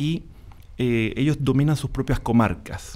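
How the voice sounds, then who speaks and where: Ordinary pitch variation marks this man's dark, mellow voice. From Panama. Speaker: musician and journalist. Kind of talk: panel discussion.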